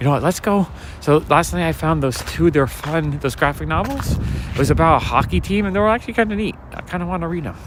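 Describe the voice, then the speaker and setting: A soft-spoken man talks at a very fast pace with noticeable background noise behind him. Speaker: street walk livestreamer and comic collector. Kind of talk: livestream walk chat with viewers. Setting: outdoors, night street walk.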